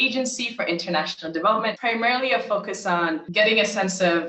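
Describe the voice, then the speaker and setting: Amid noticeable background noise, a woman speaks at a fairly quick pace in a medium pitch with lively intonation. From Uganda. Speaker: international development worker. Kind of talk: interview.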